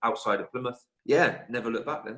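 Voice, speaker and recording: A man speaks at a fairly quick pace in a bright, sharp tone. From Somerset, southwest England. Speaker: footballer. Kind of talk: podcast interview.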